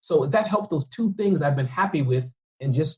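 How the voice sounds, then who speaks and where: A man with an energetic tone and lively intonation. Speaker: entrepreneur and speaker. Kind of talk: podcast interview. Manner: fast; unpolished, energetic.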